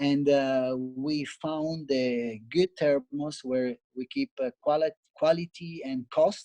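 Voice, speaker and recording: A dark, mellow tone with an Italian accent, very slow and fairly even in intonation, in dry, close sound with no echo. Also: man, fairly high pitch for a man. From Italy. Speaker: barista and cafe owner. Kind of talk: interview. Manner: halting.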